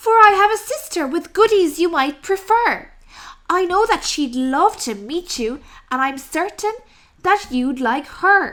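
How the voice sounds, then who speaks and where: Putting on a character voice, a woman talks at a fairly slow pace in an extremely high pitch. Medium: read story. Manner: polite.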